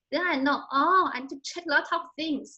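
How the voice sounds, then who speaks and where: Raising and projecting her bright, sharp voice, a woman speaks at a fairly slow pace with ordinary pitch variation. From China. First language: Chinese. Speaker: literature scholar. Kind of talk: Q&A after presentation. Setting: video call. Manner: halting.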